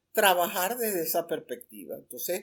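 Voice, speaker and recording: A woman's voice at a medium pitch. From Venezuela. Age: 80s+. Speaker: retired journalism ethics professor and writer. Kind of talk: interview conversation.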